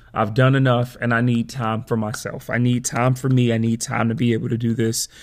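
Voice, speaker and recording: In a very clean recording over a silent background, the talking proceeds at a moderate pace. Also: man. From Chicago, US Midwest. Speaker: podcast host. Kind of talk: solo podcast monologue.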